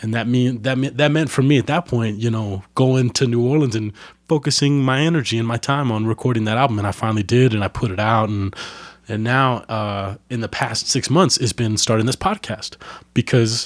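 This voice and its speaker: A normal speaking voice from a man at medium pitch, fairly quick pace, ordinary pitch variation, very clean recording with a silent background. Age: 20s. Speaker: podcast host and musician. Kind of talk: casual interview chat. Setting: home recording.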